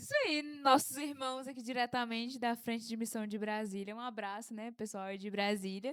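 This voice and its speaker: At a moderate pace, a woman talks in an animated tone with a fairly high pitch. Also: hardly any pauses. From Brazil, Pará (Marabá). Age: 20s. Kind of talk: casual podcast chat.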